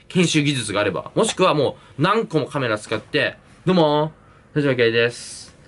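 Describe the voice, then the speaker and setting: A man talks at a moderate pace in a fairly high voice. His intonation is lively. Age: 20s. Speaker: YouTuber and university student; YouTuber. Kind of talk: solo Q&A vlog; casual vlog chat, Q&A. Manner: casual, filler-heavy. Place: home room. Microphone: phone near.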